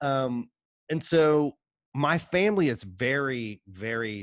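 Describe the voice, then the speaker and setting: Speaking at a very slow pace, a man with an Appalachian accent uses lively intonation. The sound is dry and close with no echo, and the background is quiet. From Appalachia, Kentucky-Ohio border. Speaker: writer and editor. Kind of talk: casual interview chat. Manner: animated.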